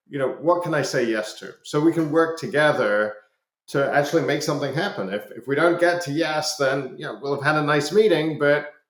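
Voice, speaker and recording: A man speaks with a slight Scottish accent at a fairly quick pace. His loudness swings widely. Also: fairly high pitch for a man, ordinary pitch variation. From Scotland. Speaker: business executive. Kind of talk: podcast interview. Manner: hesitant, many fillers and repetitions.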